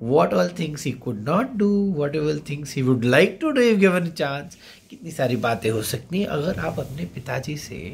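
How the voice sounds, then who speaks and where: A somewhat breathy man at a fairly high pitch, with very wide pitch swings and a moderate pace. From India. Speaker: SSB interview coach. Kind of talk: monologue tutorial. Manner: code-switching Hindi-English. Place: home room. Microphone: phone near.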